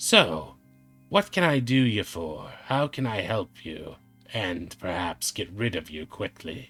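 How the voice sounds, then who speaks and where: A man uses a put-on character voice, fairly low in pitch and at a fairly slow pace, while faint music plays in the background. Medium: actual play. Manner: smug, mocking.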